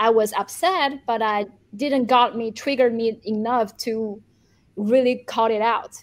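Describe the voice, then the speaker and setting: A woman with a fairly high voice and a Chinese accent speaks at a fairly slow pace with fairly even intonation. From China. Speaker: journalist and YouTuber. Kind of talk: interview discussion. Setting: video call from Beijing.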